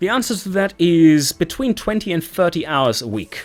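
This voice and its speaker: A man is speaking. He has a German accent. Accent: German, clear and precise. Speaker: gaming YouTuber. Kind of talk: channel Q&A monologue. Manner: clearly articulated.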